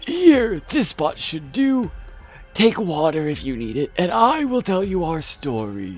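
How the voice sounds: A man puts on a high-pitched character voice, speaking at a fairly slow pace with very wide pitch swings.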